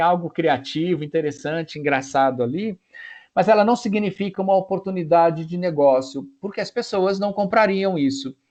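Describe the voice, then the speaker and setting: High-pitched for a man, this speaker talks at a moderate pace with lively intonation. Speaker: professor. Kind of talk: lecture.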